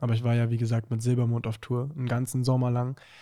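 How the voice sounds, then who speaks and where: A man speaks in a dark, mellow tone with monotone, flat intonation. The recording is very clean, with a silent background. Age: young. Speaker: singer. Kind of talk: casual chat.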